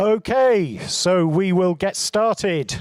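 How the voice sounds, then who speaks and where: This man's voice sits high for a man and shows ordinary pitch variation. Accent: British. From UK. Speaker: event presenter. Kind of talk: event hosting.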